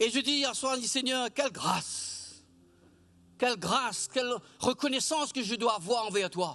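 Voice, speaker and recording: Raising and projecting his voice, a man talks at an extremely high pitch with a bright, sharp tone, ordinary pitch variation, a fairly slow pace and long, frequent pauses. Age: 60s. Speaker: church leader. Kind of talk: worship exhortation. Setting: church service streamed online.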